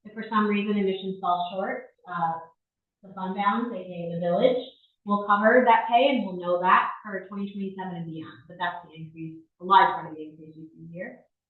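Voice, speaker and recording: A woman talks at a fairly quick pace with ordinary pitch variation and big swings in loudness, with audible room echo. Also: medium pitch for a woman. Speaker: village finance administrator. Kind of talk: budget presentation at board meeting. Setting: village board meeting room. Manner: fast.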